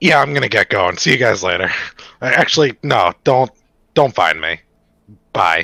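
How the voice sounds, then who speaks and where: A man in a put-on character voice, medium in pitch and raspy, moves at a moderate pace with very wide pitch swings and long, frequent pauses, with a dry, close sound and no echo. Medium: actual play.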